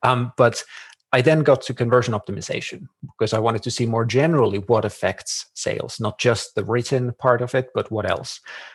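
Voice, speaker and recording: A man talks at a fairly quick pace with fairly even intonation. His voice is somewhat breathy. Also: medium pitch for a man. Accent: Finnish. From Finland. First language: Finnish. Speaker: marketing consultant. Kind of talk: podcast interview.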